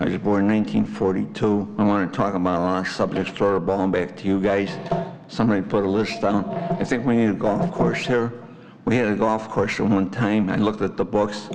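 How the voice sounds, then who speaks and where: A man with an American accent speaks at a fairly quick pace in a fairly low voice, his intonation fairly even and his loudness very even, with audible room echo and noticeable background noise. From Chicago, US Midwest. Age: 80s+. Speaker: resident at public comment. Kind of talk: public comment at village board meeting. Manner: rambling, halting.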